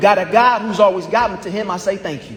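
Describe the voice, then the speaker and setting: Amid noticeable background noise and audible room echo, a man talks at a fairly quick pace with a high pitch. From US Midwest, Indianapolis east side. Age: 20s. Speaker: law graduate and business lecturer. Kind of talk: graduation speech. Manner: rhythmic oratorical delivery.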